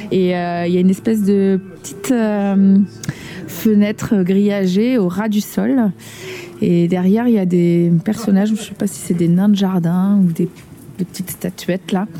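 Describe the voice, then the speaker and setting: At medium pitch and a fairly slow pace, a woman speaks with fairly even intonation over noticeable background noise. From Nantes, France. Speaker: preschool teacher. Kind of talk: casual chat.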